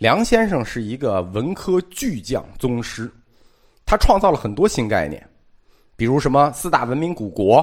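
Medium-pitched and marked by vocal fry, a man speaks at a moderate pace with very wide pitch swings. The recording is very clean, with a silent background. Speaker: lecturer on art philosophy and history. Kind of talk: lecture.

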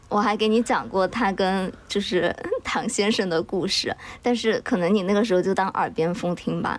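A woman talks at a moderate pace with medium pitch and ordinary pitch variation. Her loudness stays very even over noticeable background noise. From Chengdu, Sichuan, China. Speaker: podcast co-host appearing as guest. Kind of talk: casual chat.

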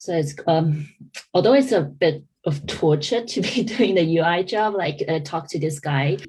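Someone with an American accent speaks in a somewhat breathy voice at a fairly slow pace with lively intonation. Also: woman, fairly low pitch for a woman. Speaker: podcast host. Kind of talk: casual chat. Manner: halting, many fillers.

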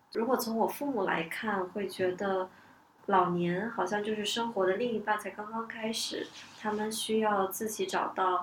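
With noticeable background noise behind her, a woman talks at a fairly slow pace in a fairly high pitch with fairly even intonation. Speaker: event planner. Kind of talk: casual discussion podcast.

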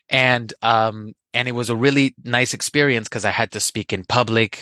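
A man with a slight Spanish accent, medium pitch, and a bright, sharp tone, in a dry, close sound with no echo over a quiet background. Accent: barely any Spanish accent in English. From Colombia. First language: Spanish (speaking Chinese). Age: young. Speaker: Spanish teacher. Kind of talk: personal anecdote. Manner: hesitant, with fillers.

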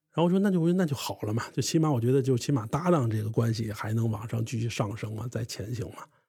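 On a very clean recording with a silent background, a man with a medium-pitched, dark, mellow and somewhat breathy voice talks very fast with lively intonation and hardly any pauses. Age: 30s. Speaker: crosstalk comedian. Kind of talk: interview storytelling.

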